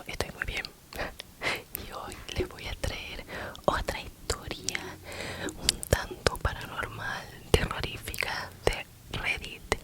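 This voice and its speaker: Whispering at a very slow pace with long, frequent pauses, a woman's loudness swings widely over noticeable background noise. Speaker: ASMR creator. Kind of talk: casual talk to camera. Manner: whispered.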